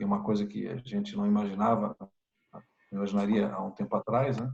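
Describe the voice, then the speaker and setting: Recorded with a dry, close sound and no echo, a man with a Brazilian accent speaks at a fairly quick pace. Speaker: member of parliament. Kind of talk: interview. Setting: video call. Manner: halting, many repetitions and fillers.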